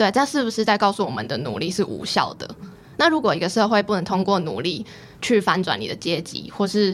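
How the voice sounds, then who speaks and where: Over noticeable background noise, a woman talks at a fairly quick pace with lively intonation and medium pitch. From Taiwan, Pingtung. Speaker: graduate student. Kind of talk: interview.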